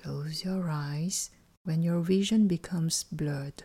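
On a very clean recording with a silent background, a woman speaks very slowly in a fairly low, somewhat breathy voice with a dark, mellow and calm, soothing tone. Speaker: life coach and sophrologist guiding a meditation. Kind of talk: guided meditation. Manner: slow, calm, soothing; gentle, evenly paced, instructional.

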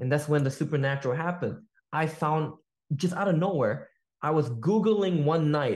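A man talks at a very fast pace in an animated tone with an American accent. His pitch variation is ordinary. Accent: American-sounding English. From Malaysia. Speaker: sales entrepreneur. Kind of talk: casual chat. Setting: video call.

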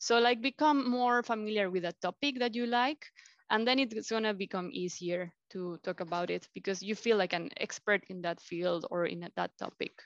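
A woman with a Mexican accent speaks at a moderate pace and medium pitch with ordinary pitch variation, her voice dry and close with no echo against a quiet background. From Mexico City. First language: Spanish. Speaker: life coach. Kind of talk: interview. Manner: halting.

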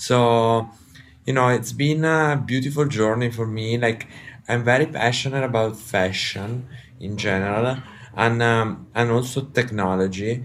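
With an Italian accent, a man speaks at a fairly slow pace in a medium pitch and fairly even intonation. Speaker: company executive, guest. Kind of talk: casual interview conversation. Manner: halting, hesitant with fillers.

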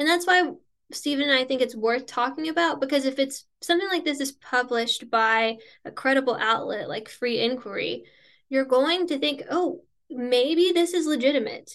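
Sounding nervous, a woman with a high pitch speaks at a moderate pace with ordinary pitch variation. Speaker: Satanic Temple member and writer. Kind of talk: casual chat, podcast conversation. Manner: self-conscious about her voice, nervous.

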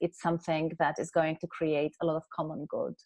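A woman with a Polish accent against a quiet background. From Poland. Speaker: keynote speaker and author. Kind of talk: casual interview conversation.

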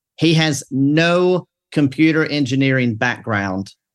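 A man speaks at a very slow pace in a Mississippi accent. The background is quiet. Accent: Southern US (Mississippi). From US South, Mississippi. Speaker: pastor. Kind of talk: casual panel discussion.

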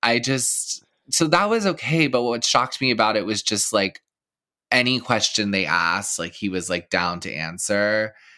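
On a very clean recording with a silent background, a man speaks at a medium pitch with a bright, sharp tone. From Texas. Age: 30s. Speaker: podcast host. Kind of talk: casual chat.

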